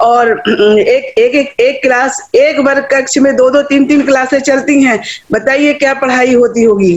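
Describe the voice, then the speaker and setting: This woman has a high pitch. Her loudness stays very even. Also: ordinary pitch variation. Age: 60s. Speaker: education activist. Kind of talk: public speech. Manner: animated.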